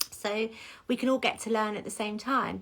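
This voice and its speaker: An animated tone with an English accent. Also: woman. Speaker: salon owner. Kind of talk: casual chat. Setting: social media livestream. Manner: whispering at times.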